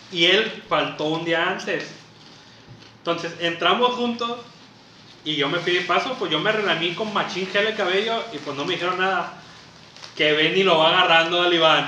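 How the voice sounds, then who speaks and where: A man with a high pitch at a moderate pace, ordinary pitch variation, long and frequent pauses, and noticeable background noise. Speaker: podcast co-host. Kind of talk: casual chat.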